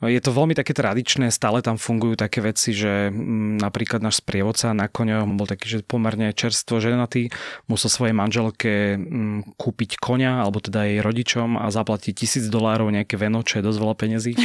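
In a very clean recording with a silent background and a dry, close sound with no echo, a man with a fairly low voice speaks fairly quickly in a flat monotone, with very even loudness and hardly any pauses. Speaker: journalist. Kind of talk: casual chat. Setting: studio.

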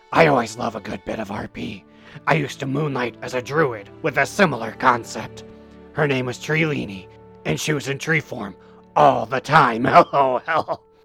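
A man does a raspy, put-on character voice at a medium pitch and a moderate pace. Faint music sits in the background. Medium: comedy sketch. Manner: folksy and upbeat.

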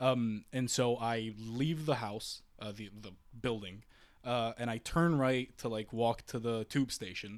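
A man at medium pitch, speaking at a fairly slow pace. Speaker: university student. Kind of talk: casual chat. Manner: animated.

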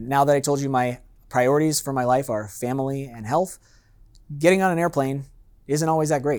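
A man with a Californian accent talks at a fairly quick pace with ordinary pitch variation, recorded very cleanly against a silent background. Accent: Californian American. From San Diego, California. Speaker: master sommelier. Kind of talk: seminar talk. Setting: live seminar with audience.

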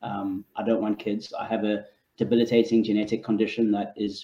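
With a British accent, a man delivers his lines at a fairly low pitch in a monotone, flat way. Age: 30s. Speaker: panellist. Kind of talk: panel discussion. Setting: video call.

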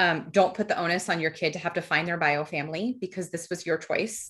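A woman talks at a fairly quick pace in a plain, everyday voice, her pitch fairly low, against a quiet background. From New Jersey, US. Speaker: donor-conceived person sharing her story. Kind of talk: personal testimony in interview.

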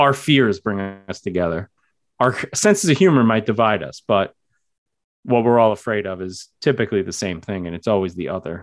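In a quiet background, a man with an American accent talks at a moderate pace in a fairly low pitch, with ordinary pitch variation and big swings in loudness. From New York. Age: 30s. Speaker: English teacher and horror author. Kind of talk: casual interview chat.

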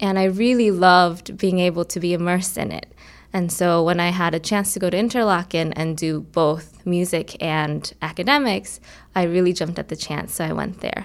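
A woman talks at a moderate pace with an American accent, in an ordinary speaking voice. Her pitch sits fairly low, with ordinary pitch variation. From Korea, then Nebraska from age eleven. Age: 20s. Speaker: violinist. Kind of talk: interview conversation. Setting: music studio.

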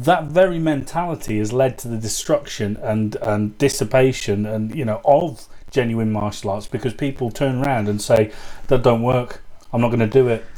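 A man with a British accent speaks at a medium pitch and a moderate pace. His tone is dark and mellow, with ordinary pitch variation. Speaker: podcast host and kung fu student. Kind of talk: casual chat. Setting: video call.

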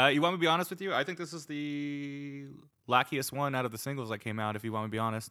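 A man speaks very fast with an American accent and a bright, sharp tone. His pitch varies in an ordinary way, and the recording is very clean with a silent background. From US Northeast, New Jersey. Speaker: podcast guest, music fan. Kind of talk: casual chat.

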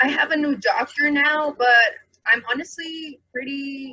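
Raised and projected, this woman's high voice has a bright, sharp tone and ordinary pitch variation. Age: 20s. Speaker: college student, cannabis patient. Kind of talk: personal testimony.

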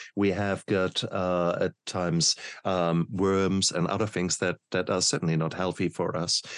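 Someone speaks fairly slowly with a German accent in a flat monotone, loudness very even, the sound dry and close with no echo over a quiet background. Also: man, very deep, low pitch for a man. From Germany. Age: 50s. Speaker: podcast host, doctor. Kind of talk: interview.

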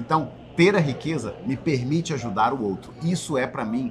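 A man's fairly high voice at a moderate pace, with lively intonation and noticeable background noise. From Belém do Pará, Brazil. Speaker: podcast co-host, entrepreneur. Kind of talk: casual chat.

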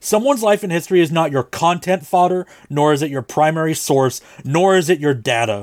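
In an unremarkable speaking voice, a man with a fairly high pitch talks at a fairly quick pace with lively intonation, the sound dry and close with no echo. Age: 30s. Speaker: podcast producer and co-host. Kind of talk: casual chat. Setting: video call.

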